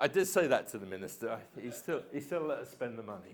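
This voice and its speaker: In an English accent, a man talks at a very fast pace with very wide pitch swings. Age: 70s. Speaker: physics professor. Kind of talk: public lecture. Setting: lecture hall with audience. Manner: conversational, frequent fillers.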